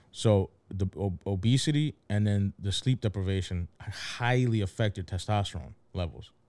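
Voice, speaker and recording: With a Philadelphia accent and hardly any pauses, the speaker moves at a moderate pace with ordinary pitch variation, in a very clean recording with a silent background and a dry, close sound with no echo. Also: man, fairly low pitch for a man. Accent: Philadelphia American English. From Philadelphia, US. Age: 30s. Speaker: podcast co-host. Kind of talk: casual chat.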